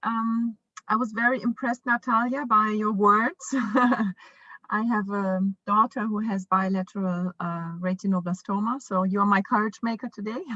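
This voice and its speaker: A woman's fairly high-pitched voice with a German accent. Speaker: parent, foundation founder. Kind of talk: conference panel talk. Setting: virtual conference video call. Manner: halting, many fillers.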